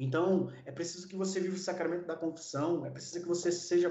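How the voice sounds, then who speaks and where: A man speaks at a high pitch. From Brazil, São Paulo. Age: 40s. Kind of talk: interview; sermon.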